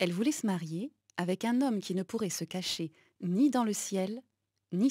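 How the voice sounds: Quiet background behind a natural reading voice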